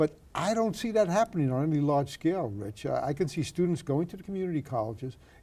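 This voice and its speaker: A man with a Brooklyn accent, very fast with hardly any pauses, his dark, mellow tone swinging very widely in pitch. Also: fairly high pitch for a man. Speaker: retired university president. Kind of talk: oral history interview.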